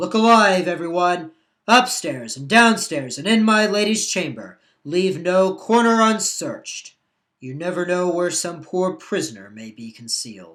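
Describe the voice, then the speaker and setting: A put-on character voice at a middle pitch and a moderate pace, in a very clean recording with a silent background. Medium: read story. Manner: authoritative.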